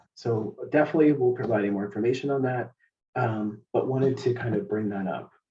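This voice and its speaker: A man speaks at a medium pitch with a somewhat breathy voice. His pace is fairly quick. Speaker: healthcare leadership presenter. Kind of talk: webinar presentation. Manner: fast.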